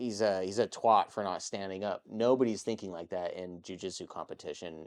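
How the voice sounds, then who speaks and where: In an American accent, a man with a normal speaking voice talks at a fairly quick pace in a fairly low pitch, his intonation fairly even and his loudness swinging widely. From Texas. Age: 30s. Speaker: jiu-jitsu competitor and YouTube creator. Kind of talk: casual interview chat.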